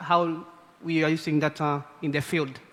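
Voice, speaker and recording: Against noticeable background noise, a man talks fairly slowly at a fairly high pitch. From Kenya. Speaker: community conservation group leader. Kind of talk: conference talk.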